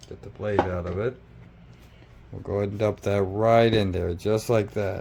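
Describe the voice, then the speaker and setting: In a dark, mellow tone, a man with a fairly low pitch speaks at a moderate pace with fairly even intonation and big swings in loudness. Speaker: home cook. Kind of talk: cooking tutorial. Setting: home kitchen. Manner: casual.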